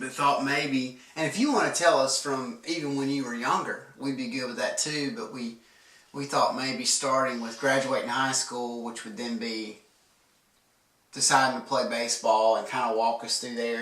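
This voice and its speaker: Here is a man with a normal speaking voice and a medium pitch. He talks at a moderate pace with fairly even intonation. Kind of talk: casual interview questions.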